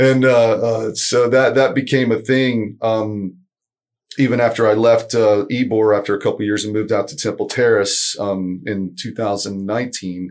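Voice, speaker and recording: This is a man at a medium pitch. His pace is moderate and his intonation fairly even. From Florida (Tampa, Lakeland), born in Argentina. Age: 50s. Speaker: author, musician and teacher. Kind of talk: casual interview. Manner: halting, many fillers.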